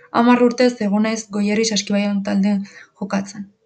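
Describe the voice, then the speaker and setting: A woman's somewhat breathy voice holds a monotone, flat intonation. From Basque Country, Urretxu (Gipuzkoa). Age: young. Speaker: university student. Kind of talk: scripted narration.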